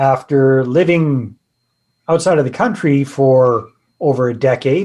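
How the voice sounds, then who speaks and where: A man with a Canadian accent uses an ordinary speaking voice. His pitch is fairly high, with ordinary variation. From Canada, British Columbia. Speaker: real estate investor and author. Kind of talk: podcast interview.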